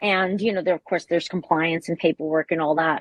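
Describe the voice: A woman with a low pitch and ordinary pitch variation is heard in a dry, close sound with no echo.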